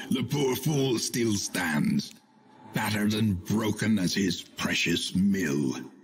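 A put-on character voice speaks at a fairly slow pace over faint music in the background. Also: man, fairly low pitch for a man, lively intonation, very even loudness. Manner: crisp, gravelly narration.

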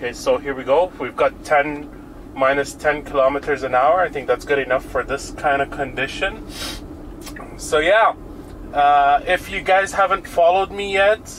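A man speaks with ordinary pitch variation, light noise audible behind him. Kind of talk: casual commentary. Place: car.

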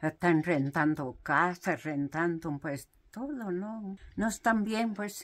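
A woman's fairly low voice at a very slow pace, in a very clean recording against a silent background. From Mexico, Oaxaca, Cuicatlán region. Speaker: mat weaver. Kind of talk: interview storytelling.

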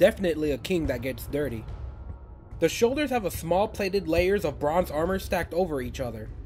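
Music plays behind a man who speaks at a fairly quick pace with a fairly high pitch and lively intonation. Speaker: toy reviewer. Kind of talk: product review narration.

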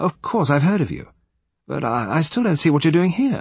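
A man does a put-on character voice, fairly high in pitch with a slightly husky edge. His pitch swings widely. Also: moderate pace.

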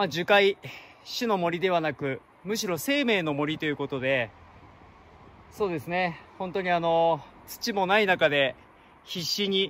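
A man talks with a high pitch for a man, ordinary pitch variation and a fairly slow pace. The sound is dry, with no echo. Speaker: travel vlogger. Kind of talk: casual vlog chat. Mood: calm, earnest, reflective. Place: forest. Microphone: phone near.

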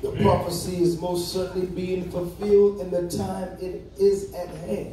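Talking at a very slow pace, a man uses a high pitch. Audible room echo and light background noise come through. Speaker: preacher. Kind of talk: sermon. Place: church. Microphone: phone near.

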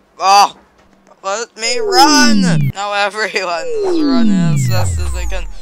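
The speech goes at a very slow pace with big swings in loudness. Music plays in the background. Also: man. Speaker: gaming youtuber. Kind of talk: gameplay commentary. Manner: animated.

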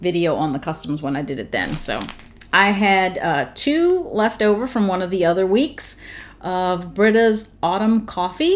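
The pace is moderate. It's a woman's voice. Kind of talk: casual vlog chat. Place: home room.

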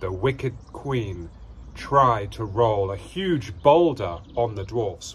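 The delivery is an unforced reading voice carrying lively intonation.

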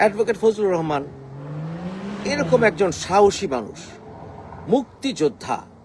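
An animated, high-pitched man's voice amid noticeable background noise. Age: young. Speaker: political commentator. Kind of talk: political rant.

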